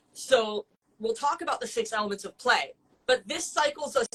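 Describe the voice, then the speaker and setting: A woman talks at a moderate pace with lively intonation. Her tone is animated, bright and sharp. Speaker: dog trainer. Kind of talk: educational explanation in a live-stream chat.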